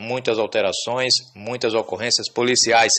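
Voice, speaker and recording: At a moderate pace, a man talks at medium pitch in an unremarkable speaking voice. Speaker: radio reporter. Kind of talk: news report. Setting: phone call. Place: studio. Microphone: studio mic.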